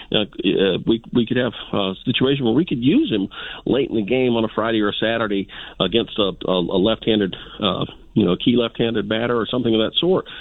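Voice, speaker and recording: A man at a fairly quick pace. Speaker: caller. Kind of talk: casual phone-in chat. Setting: phone call. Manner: halting.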